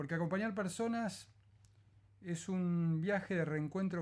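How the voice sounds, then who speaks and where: At a fairly slow pace, a man with a high pitch speaks in a calm, gentle tone with ordinary pitch variation. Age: 50s. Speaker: psychologist and podcaster. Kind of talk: reading aloud of a reflective essay; casual podcast intro.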